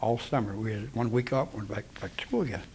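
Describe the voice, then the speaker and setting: A man with a Midwestern American accent speaks with ordinary pitch variation. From US Midwest, Cincinnati, Ohio. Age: 70s. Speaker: war veteran. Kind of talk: oral history interview.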